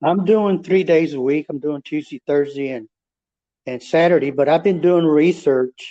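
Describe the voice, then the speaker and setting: With a dry, close sound and no echo, a man speaks at a fairly high pitch and a moderate pace in a dark, mellow tone with ordinary pitch variation. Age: 60s. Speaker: kidney dialysis patient. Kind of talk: interview.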